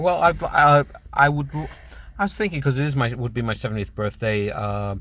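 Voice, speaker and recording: With a bright, sharp tone and lively intonation, a man speaks fairly quickly at a medium pitch. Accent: American. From US, New York City (Manhattan). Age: 60s. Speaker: stand-up comedian. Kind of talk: radio interview. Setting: radio studio.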